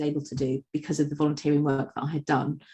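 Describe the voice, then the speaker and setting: A woman speaks at a fairly quick pace. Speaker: agency managing director presenting webinar. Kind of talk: webinar presentation. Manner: loud; hesitant, many fillers.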